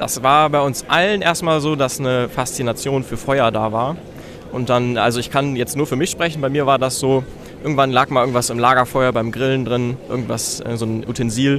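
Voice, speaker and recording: Fairly quick and fairly even in intonation, the voice comes through noticeable background noise. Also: man. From Germany. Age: young. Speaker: hobby blacksmith. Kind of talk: interview. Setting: trade fair hall.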